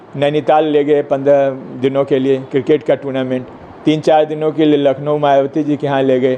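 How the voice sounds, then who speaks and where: Noticeable background noise sits behind a moderate-paced voice with flat, monotone intonation. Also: man. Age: 70s. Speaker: medical scientist. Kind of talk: press conference statement. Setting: office, talking to journalists.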